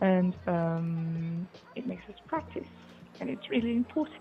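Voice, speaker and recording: Over music in the background, a woman speaks at a medium pitch and a fairly slow pace. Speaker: interviewee. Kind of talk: interview. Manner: halting, many fillers.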